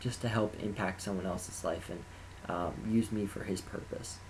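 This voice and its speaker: Somewhat breathy and monotone, with flat intonation, a man talks at a moderate pace. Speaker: college band applicant. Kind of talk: personal testimony to camera. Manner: hesitant, occasional stutters.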